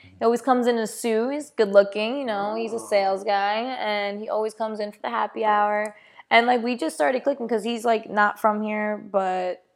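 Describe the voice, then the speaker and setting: A woman's fairly high, fairly quick American-accented delivery, a normal speaking voice with ordinary pitch variation. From New York. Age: 20s. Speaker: podcast host, aspiring actor. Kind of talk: casual chat.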